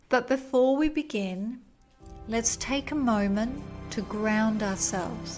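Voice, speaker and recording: Music plays in the background behind a woman with a fairly high voice. She talks at a fairly slow pace in a gentle tone, with ordinary pitch variation. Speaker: podcast host, wellness coach. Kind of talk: guided grounding meditation. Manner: slow, gentle, soft-spoken.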